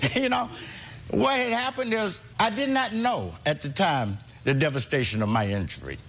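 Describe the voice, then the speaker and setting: Amid noticeable background noise and audible room echo, a man with a fairly high pitch talks at a moderate pace with very wide pitch swings. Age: 60s. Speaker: litigant, retired federal employee. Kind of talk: courtroom testimony.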